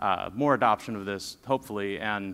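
Speaking at a fairly quick pace, a man shows ordinary variation in pitch. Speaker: conference presenter. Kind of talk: technical conference talk. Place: stage.

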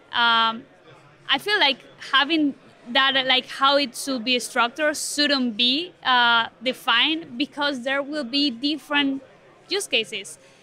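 A woman projects a raised, high-pitched voice with a bright, sharp tone and ordinary pitch variation. The sound is dry with no echo, and her pace is fairly slow. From Spain. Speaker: product manager at a tech foundation. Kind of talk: interview. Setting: tech conference. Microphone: studio mic.

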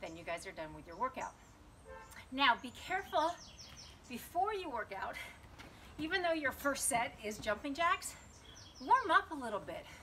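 A woman's raised, projected voice at high pitch, with very wide pitch swings, big swings in loudness, a moderate pace, long, frequent pauses and light background noise. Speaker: fitness instructor. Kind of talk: guided home workout demo, cueing exercises. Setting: home video recording. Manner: brisk, directive, encouraging; clipped, rhythmic counting cues. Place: garden. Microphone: camera far.

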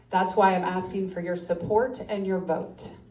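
With an American accent, a woman of medium pitch talks at a fairly slow pace amid audible room echo. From upstate New York. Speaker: county commissioner candidate. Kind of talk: candidate forum speech.

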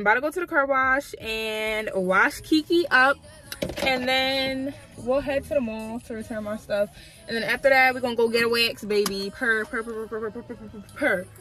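Speech at a moderate pace with ordinary pitch variation and big swings in loudness comes through light background noise in a dry sound with no echo. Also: woman. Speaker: vlogger. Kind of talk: casual vlog chat. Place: car. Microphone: phone near.

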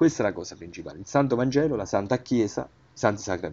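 A man is speaking. His pitch swings very widely. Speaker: religious video channel host. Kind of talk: religious commentary on messages. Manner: halting, with fillers.

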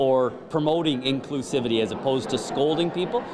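Noticeable background noise behind a man whose pitch varies in an ordinary way. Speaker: event emcee. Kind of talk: interview answer. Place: hall. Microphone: handheld.

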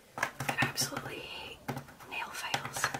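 Soft-spoken and whispering, a woman speaks at a moderate pace. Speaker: vlogger. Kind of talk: casual vlog chat. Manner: soft ASMR whisper, close to mic. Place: home room. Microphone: phone near.

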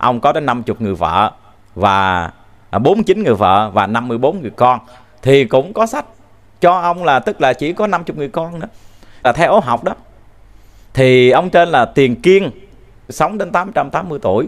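Using very wide pitch swings, a man talks at a moderate pace with long, frequent pauses. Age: 40s. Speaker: religious teacher. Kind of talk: dharma talk. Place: studio. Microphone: handheld.

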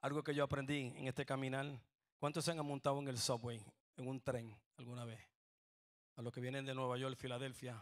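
A man talks at a fairly quick pace in an animated tone at medium pitch, with long, frequent pauses. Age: 60s. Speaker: pastor. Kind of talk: sermon. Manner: animated, call-and-response.

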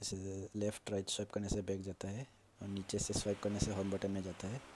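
This man talks in a flat monotone, his fairly low voice dark and mellow in tone. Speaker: tech YouTuber. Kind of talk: casual phone feature walkthrough. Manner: low volume.

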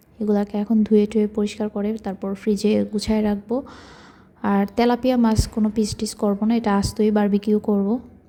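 Monotone, flat intonation from a female speaker with a fairly high pitch. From Bangladesh. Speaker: lifestyle vlogger. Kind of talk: cooking vlog narration. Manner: soft-spoken.

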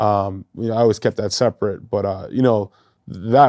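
Man with a fairly low, dark, mellow voice at a moderate pace, fairly even intonation, quiet background. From New Hampshire, Nashua; New Hampshire. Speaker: former pro football player; interview guest. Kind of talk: interview. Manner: halting, many fillers. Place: studio. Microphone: lapel.

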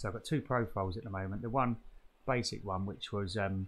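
Somewhat breathy, the man's voice moves along at a fairly quick pace. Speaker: hobby cyclist demonstrating software. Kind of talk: tutorial. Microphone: webcam.

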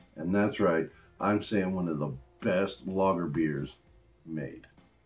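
A man's speech is backed by faint music in the background. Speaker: beer reviewer. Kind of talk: casual review vlog. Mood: enthusiastic, upbeat. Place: home room.

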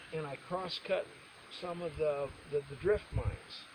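A man is speaking with noticeable background noise behind him. The sound is dry, without echo. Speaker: geologist guide. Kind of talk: informal explanation to a group. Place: open country.

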